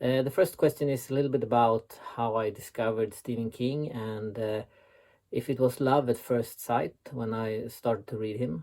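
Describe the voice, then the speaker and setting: A man talks with a Swedish accent in a dark, mellow tone. His intonation stays fairly even. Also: medium pitch for a man, moderate pace. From Sweden. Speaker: website founder and author. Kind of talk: recorded interview answers. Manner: hesitant, many filler sounds.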